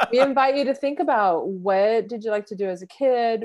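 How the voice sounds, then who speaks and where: A woman with an American accent at a moderate pace. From Southern California (San Diego). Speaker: podcast co-host, life coach. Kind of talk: casual chat. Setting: remote recording, different cities. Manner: animated.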